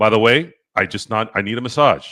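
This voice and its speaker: A man with an American accent speaks loudly at a moderate pace, his bright, sharp tone animated and his intonation lively, on a very clean recording with a silent background. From central California, US. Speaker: sports talk show host. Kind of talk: casual sports talk livestream.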